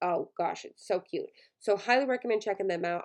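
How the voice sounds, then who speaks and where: Speaking at a very fast pace in a quiet setting, a woman uses a medium pitch with ordinary variation. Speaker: online shop owner, YouTuber. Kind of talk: casual tutorial.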